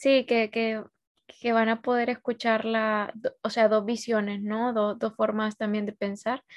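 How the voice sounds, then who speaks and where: A woman's fairly high voice, fairly slow and monotone with flat intonation. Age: 20s. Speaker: podcast host. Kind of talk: casual chat. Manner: halting, repeats words.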